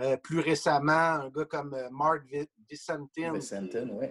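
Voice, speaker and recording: A man's plain, everyday voice, fairly high in pitch, at a fairly slow pace with fairly even intonation and a dry, close sound with no echo. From Quebec, Trois-Pistoles (Lower St. Lawrence). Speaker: sports journalist and author. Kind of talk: casual interview.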